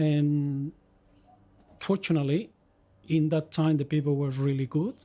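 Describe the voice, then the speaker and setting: Speaking with a Spanish accent, the man has a fairly high, somewhat breathy voice with a dark, mellow tone. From Chile, rural village. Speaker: migrant interviewee. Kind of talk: life-story interview. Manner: halting, many repetitions and self-corrections.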